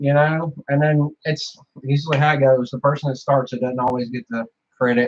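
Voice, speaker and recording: Somewhat breathy and fairly high-pitched, a man speaks at a fairly quick pace in a Southern US accent. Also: fairly even intonation. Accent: hillbilly way of talking. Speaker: YouTuber / streamer. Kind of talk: casual chat.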